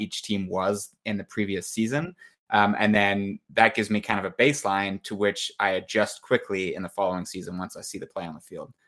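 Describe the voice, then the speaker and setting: In a very clean recording with a silent background, a man with a fairly low pitch speaks at a very fast pace. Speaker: podcast co-host, analyst.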